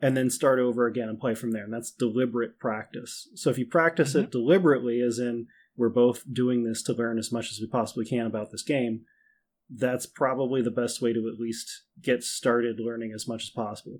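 A man has an ordinary speaking voice with an American accent and fairly even intonation. He talks at a fairly quick pace in a very clean recording with a silent background. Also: medium pitch for a man. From Minnesota. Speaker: tabletop wargame player. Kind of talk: casual chat.

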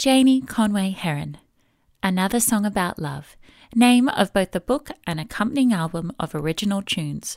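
A woman speaks in an ordinary speaking voice at a moderate pace, with medium pitch and lively intonation. The sound is dry and close with no echo, in a very clean recording with a silent background. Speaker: announcer. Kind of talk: scripted narration.

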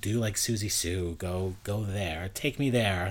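A man with a New York accent talks with ordinary pitch variation. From Queens, New York City. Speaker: nightlife blogger. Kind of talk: casual chat.

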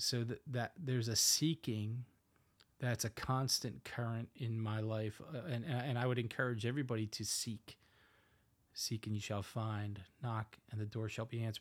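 With a Northeastern US accent, a man talks at a moderate pace and medium pitch on a very clean recording with a silent background. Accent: Northeast US. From US Northeast, Philadelphia. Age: 50s. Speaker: pastor. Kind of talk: casual chat. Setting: home studio.

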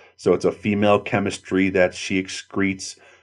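The speaker's delivery comes at a moderate pace. It is a plain, everyday voice. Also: man. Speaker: pest control industry market manager. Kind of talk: interview, conversational expert talk.

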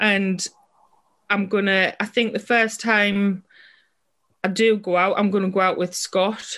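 A woman with a strong British accent speaks at a fairly slow pace in a nervous tone. Her intonation is monotone and flat. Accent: British English, strong regional. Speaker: person in recovery from alcohol. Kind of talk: casual interview.

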